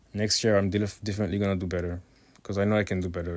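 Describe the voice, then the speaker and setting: A man talks with a non-native accent. His intonation is monotone and flat. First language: not English. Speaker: digital art content creator. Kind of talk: voiceover narration over art video. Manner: hesitant, many fillers.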